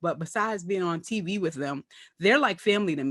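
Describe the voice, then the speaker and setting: A woman with an American accent talks at a fairly quick pace in a fairly low pitch against a quiet background. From Brooklyn, New York. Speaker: comedian and actress. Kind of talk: casual interview chat.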